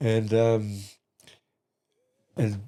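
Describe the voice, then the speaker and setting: A man with a New Zealand accent speaks at a medium pitch in a dark, mellow tone. The recording is very clean, with a silent background. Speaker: grandfather guest on podcast. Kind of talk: casual chat. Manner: halting.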